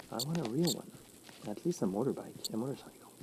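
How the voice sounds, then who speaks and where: A man speaks with a Quebec accent and very wide pitch swings. Noticeable background noise is present. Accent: Quebec French-Canadian accent in English. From Quebec, Canada. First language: French. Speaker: gaming streamer. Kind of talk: live gameplay stream commentary. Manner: casual with frequent hesitations.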